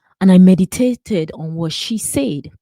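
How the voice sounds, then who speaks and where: Dry and close with no echo, a woman's dark, mellow voice moves at a very slow pace with lively intonation. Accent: Nigerian. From Nigeria. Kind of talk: personal testimony with sermon-style reflection.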